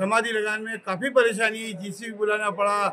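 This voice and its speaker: A man with a high-pitched voice speaks in a raised, projected way with fairly even intonation, and noticeable background noise can be heard. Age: 70s. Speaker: event organiser. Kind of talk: interview at an event.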